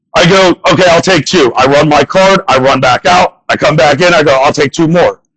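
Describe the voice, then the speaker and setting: An ordinary speaking voice with an American accent at a fairly quick pace. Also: man. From northern US. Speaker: comedian. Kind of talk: stand-up.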